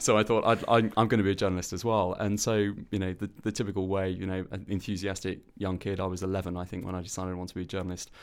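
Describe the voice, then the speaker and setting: A man with a Welsh accent and a very deep, low pitch speaks very fast in a flat monotone with hardly any pauses, in a very clean recording with a silent background. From Wales. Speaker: arts organisation chief executive, former journalist. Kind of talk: interview. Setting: studio.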